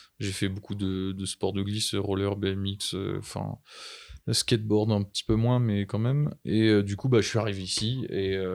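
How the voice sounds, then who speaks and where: Recorded very cleanly against a silent background, a man with an ordinary speaking voice talks at a fairly slow pace, with fairly low pitch and fairly even intonation. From Brittany, France. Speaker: seasonal ski resort worker. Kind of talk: casual chat.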